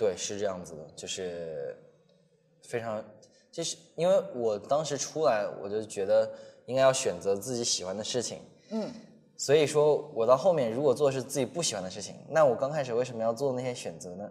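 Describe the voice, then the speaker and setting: Over music in the background, a man talks at a moderate pace and medium pitch, with lively intonation and big swings in loudness. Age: 20s. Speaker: travel vlogger and street dancer. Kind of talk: casual interview chat.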